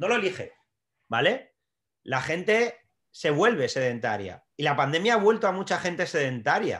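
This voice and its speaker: Against a quiet background, a man with a high pitch speaks at a moderate pace, his voice making very wide pitch swings. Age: 40s. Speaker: strength and conditioning coach, trainer educator. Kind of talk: podcast interview.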